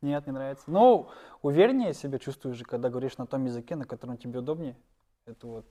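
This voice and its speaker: A man's medium-pitched, dark, mellow voice at a very fast pace, with ordinary pitch variation, big swings in loudness and a very clean recording over a silent background. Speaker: stand-up comedian. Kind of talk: interview.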